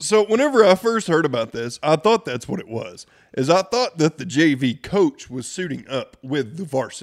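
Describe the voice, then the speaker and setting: A man with a fairly high voice speaks at a moderate pace, swinging very widely in pitch, the sound dry and close with no echo. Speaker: farming podcast host. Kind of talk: casual chat. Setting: studio.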